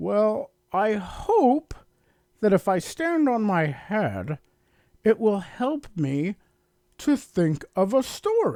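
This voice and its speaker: This is a put-on character voice delivered at a very slow pace. Long pauses come often. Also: man, high pitch for a man. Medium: read story.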